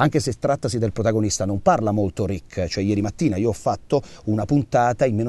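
A man speaks at a very fast pace in a dark, mellow tone with lively intonation, the sound dry with no echo. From Abruzzo, Italy. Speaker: voice actor. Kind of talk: interview answer. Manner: direct, caustic. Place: studio.

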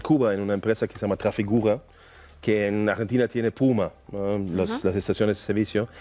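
With a German accent, a man speaks in a fairly low pitch, his dark, mellow tone paired with fairly even intonation. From Germany, near Düsseldorf; Germany. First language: German (speaking Spanish). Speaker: mining company executive; interview guest. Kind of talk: interview. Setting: studio. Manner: halting. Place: studio. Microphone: headset.

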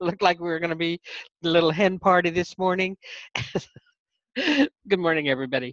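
Dry sound with no echo over a quiet background. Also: woman. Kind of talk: casual group chat introduction. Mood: cheerful, laughing, sleepy. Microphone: video call.

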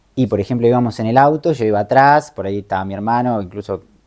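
With ordinary pitch variation, a man speaks in a dark, mellow tone. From Argentina, Moreno, Buenos Aires province; Buenos Aires province, Argentina. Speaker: travel content creator and life coach; travel content creator, life coach. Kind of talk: interview. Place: home room.

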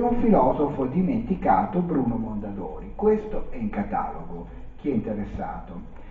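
With audible room echo and light background noise, this man speaks at a moderate pace. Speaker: presenter. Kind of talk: lecture.

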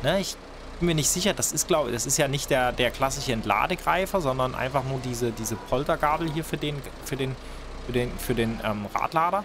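Music plays in the background. A man speaks at a medium pitch with ordinary pitch variation. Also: fairly quick pace. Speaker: gaming video creator. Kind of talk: let's play gameplay commentary. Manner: casual, hesitant with repetitions.

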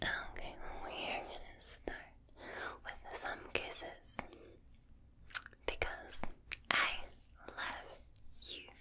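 A woman whispers in a gentle tone at a very slow pace. Long, frequent pauses break up her words. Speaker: ASMR creator. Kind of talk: soft ASMR chat to the viewer. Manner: gentle close whisper. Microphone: studio mic.

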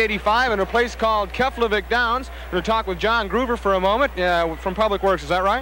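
Over light background noise, a man in a raised, projected voice speaks at a very fast pace with fairly even intonation and a dry sound with no echo. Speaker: TV reporter. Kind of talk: on-location interview. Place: hall. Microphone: handheld.

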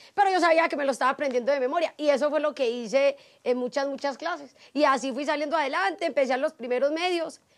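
A woman's high voice in a strong paisa accent, with ordinary pitch variation over a quiet background. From Antioquia, Colombia. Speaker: TV journalist. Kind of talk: interview answer. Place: garden. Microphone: lapel.

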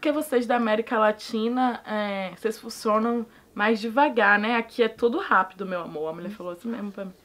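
A woman talks at a fairly quick pace, with hardly any pauses. Her loudness swings widely while her pitch varies in an ordinary way. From Salvador, Bahia, Brazil; Bahia, Brazil. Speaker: immigrant interviewee; interviewee. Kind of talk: casual chat. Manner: animated. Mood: animated, humorous. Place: home room.

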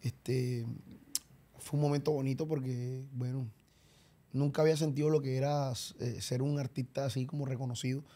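A man speaks at a moderate pace in a dark, mellow tone that is somewhat breathy. His intonation stays flat and monotone, broken by long, frequent pauses. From Colombia, Barranquilla (Caribbean coast); Colombia. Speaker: champeta singer; podcast guest. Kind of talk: casual interview. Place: studio. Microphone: studio mic.

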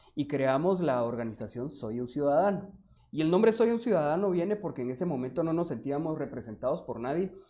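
The pace is fairly quick. Pitch swings are very wide. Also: man, fairly high pitch for a man. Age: 30s. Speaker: mayoral candidate. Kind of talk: interview.

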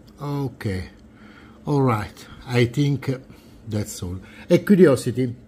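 A man with an Italian accent speaks very slowly in a dark, mellow, somewhat breathy tone, with lively intonation and long, frequent pauses. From Italy. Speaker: retro computer collector and video creator; video creator. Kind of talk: show-and-tell tutorial. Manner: halting, many fillers. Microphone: phone near.

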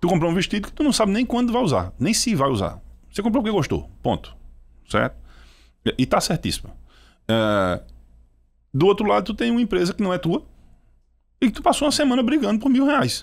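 The speech comes at a fairly quick pace with long, frequent pauses and a slight Pernambuco accent. The background is quiet. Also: man. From Brazil, Pernambuco sertão. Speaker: startup CEO; podcast guest. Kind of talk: interview. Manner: calm. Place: studio. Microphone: studio mic.

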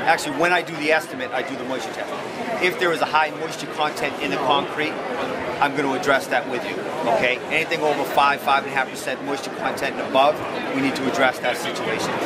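A man talks at a very fast pace with crowd noise in the background. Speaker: flooring contractor at booth. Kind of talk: sales explanation to visitors. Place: hall. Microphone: camera far.

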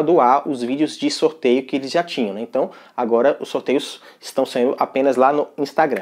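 Over a quiet background, a man talks at a fairly quick pace. His pitch is fairly high, with ordinary variation. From Brazil. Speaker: tech youtuber. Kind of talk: tutorial. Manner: casual, conversational. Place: home room. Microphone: lapel.

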